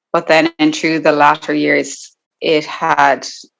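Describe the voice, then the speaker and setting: A woman with an Irish accent. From Ireland, County Limerick. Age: 20s. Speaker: guest sharing eating disorder recovery story. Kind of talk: personal testimony interview.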